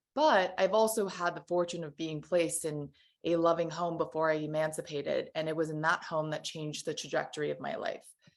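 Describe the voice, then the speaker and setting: Fairly quick and fairly even in intonation, a woman is talking. Her pitch runs fairly low. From Taiwan, then Los Angeles County from childhood. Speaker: panel moderator, nonprofit director. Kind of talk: panel moderation, opening remarks.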